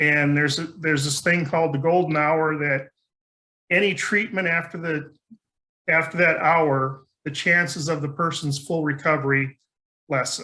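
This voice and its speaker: A man's fairly high, bright, sharp voice at a moderate pace with fairly even intonation. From rural area. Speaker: conference speaker. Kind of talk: conference talk.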